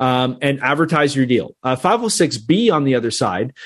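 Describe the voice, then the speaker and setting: A man's plain, everyday voice, fairly high in pitch, with a Canadian accent and a quiet background. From Canada. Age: 30s. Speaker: real estate investor. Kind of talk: interview.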